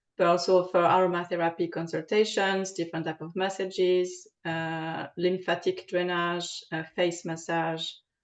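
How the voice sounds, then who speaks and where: The speaker has a French accent and a monotone, flat intonation. The pace is moderate, with hardly any pauses. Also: woman, fairly low pitch for a woman. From France. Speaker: aromatherapist. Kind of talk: interview. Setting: podcast recording. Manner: halting, many fillers.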